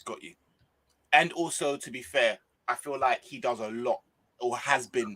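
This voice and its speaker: A man with a northwest English accent talks at a moderate pace and medium pitch, his tone bright and sharp, his pitch varying in an ordinary way and his loudness swinging widely. He leaves long, frequent pauses, and the sound is dry and close with no echo. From northwest England. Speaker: football YouTuber. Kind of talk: casual chat.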